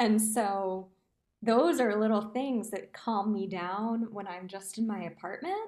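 A woman in a normal speaking voice talks at a fairly high pitch and a fairly slow pace, with ordinary pitch variation. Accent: American. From New Jersey. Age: 20s. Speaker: musical theatre performer. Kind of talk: casual chat.

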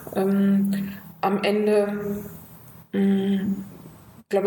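Medium-pitched female voice amid noticeable background noise and audible room echo. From Göttingen, Lower Saxony, Germany. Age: 50s. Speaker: district mayor. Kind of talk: interview.

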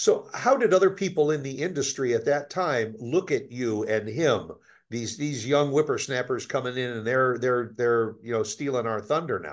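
Against a quiet background, a man with an unremarkable speaking voice talks at a moderate pace and medium pitch, with ordinary pitch variation and hardly any pauses. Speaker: podcast host. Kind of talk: interview conversation. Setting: studio.

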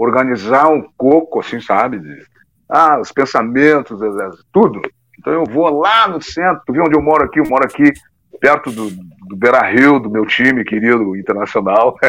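A man's normal speaking voice of medium pitch, with lively intonation at a moderate pace. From southern Brazil, Porto Alegre. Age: 50s. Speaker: musician. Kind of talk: casual chat.

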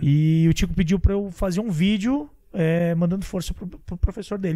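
A man speaks with a high pitch. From Santa Catarina, Brazil. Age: 30s. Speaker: podcast host. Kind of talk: casual interview.

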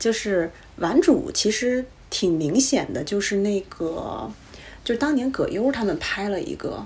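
A woman with a Beijing accent speaks at a fairly slow pace in a somewhat breathy, fairly high voice that swings very widely in pitch. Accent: Beijing Mandarin. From Beijing, China. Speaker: podcast guest. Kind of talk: casual chat.

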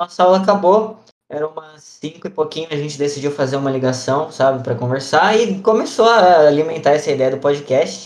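At a fairly quick pace, a man with a fairly high-pitched, plain, everyday voice speaks with lively intonation. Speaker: podcast host, missionary trainee. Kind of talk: casual chat.

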